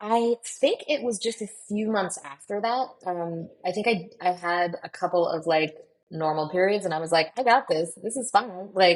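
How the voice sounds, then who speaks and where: With hardly any pauses, a woman talks at a moderate pace in a medium pitch and ordinary pitch variation. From US Northeast (Maine). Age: 30s. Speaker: podcast host sharing patient story. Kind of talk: interview testimony. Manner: hesitant, many fillers.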